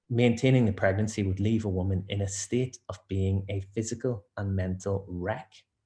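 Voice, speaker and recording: A man with a Northern Irish accent speaks at a moderate pace and a fairly low pitch. His tone is dark, mellow and somewhat breathy. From Northern Ireland. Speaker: barrister. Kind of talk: webinar presentation.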